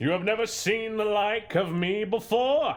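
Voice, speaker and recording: A man's high-pitched, put-on character voice. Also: moderate pace. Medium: audio drama. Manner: hearty, genial.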